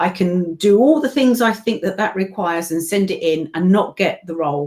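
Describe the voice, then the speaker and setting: This woman talks in a British accent at a moderate pace. Her pitch is medium and her intonation lively. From England. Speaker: voiceover artist and event co-owner. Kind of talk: casual chat.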